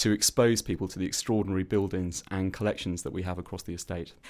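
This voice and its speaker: A man talks at a very fast pace with a very deep, low pitch and fairly even intonation. The recording is very clean, with a silent background. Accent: Welsh. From Wales. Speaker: arts organisation chief executive, former journalist. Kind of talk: interview. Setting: studio.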